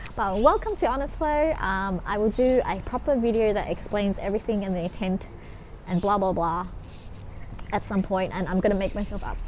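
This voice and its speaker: A woman with an Australian accent at a fairly quick pace. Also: medium pitch for a woman, ordinary pitch variation. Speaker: spiritual vlogger. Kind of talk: casual vlog monologue. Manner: fast; sometimes slurred, mispronounces words.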